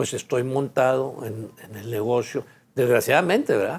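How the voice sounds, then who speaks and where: With a Mexican accent, a man speaks at a medium pitch with vocal fry. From Mexico. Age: 70s. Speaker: businessman. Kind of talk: autobiographical monologue. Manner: halting, many repetitions and fillers.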